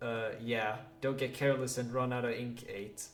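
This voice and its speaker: A man with a non-native accent speaks at a moderate pace in a medium pitch, his intonation monotone and flat. Music plays in the background, and the room echo is audible. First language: not English. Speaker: gaming youtuber. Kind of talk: reading game dialogue aloud. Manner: halting; casual.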